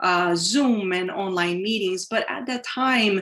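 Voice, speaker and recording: A woman's normal speaking voice, medium in pitch with ordinary pitch variation, at a fairly slow pace. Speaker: academic conference presenter. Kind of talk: conference presentation.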